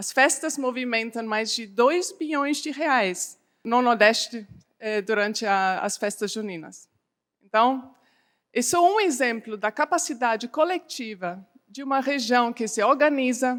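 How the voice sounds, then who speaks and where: A woman speaks at a fairly slow pace with a German accent, her high-pitched voice full of lively intonation on a very clean recording with a silent background. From Germany. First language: German (speaking Portuguese). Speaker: development bank representative. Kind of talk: conference keynote speech. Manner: halting with false starts.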